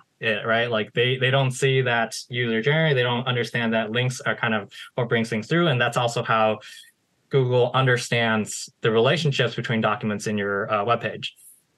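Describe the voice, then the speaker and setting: Here a man with an American accent speaks at a medium pitch and a moderate pace. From United States. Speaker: SEO marketer. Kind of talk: interview. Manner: halting, many fillers.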